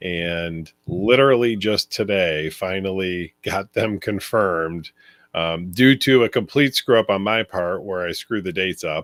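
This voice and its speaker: Pitch varies in an ordinary way here. The pace is fairly slow. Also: man, fairly low pitch for a man. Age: 50s. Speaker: venue owner and livestream host. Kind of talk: casual chat. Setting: livestream. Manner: hesitant, many fillers.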